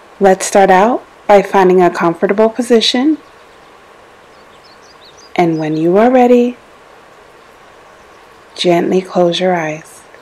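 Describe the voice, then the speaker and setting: The speech moves at a fairly slow pace, broken by long, frequent pauses, with ordinary pitch variation. There is noticeable background noise. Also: woman, medium pitch for a woman. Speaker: meditation guide. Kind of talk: guided meditation.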